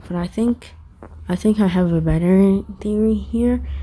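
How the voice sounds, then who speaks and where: A woman speaks fairly slowly, with noticeable background noise in the recording. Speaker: gaming YouTuber. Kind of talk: game lore theory commentary. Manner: sometimes quieter by accident; casual, hesitant.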